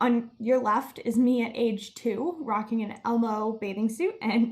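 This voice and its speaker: A woman with an American accent speaks in a somewhat breathy voice at a fairly high pitch. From Miami, Florida. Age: 20s. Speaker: student climate activist. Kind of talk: presentation.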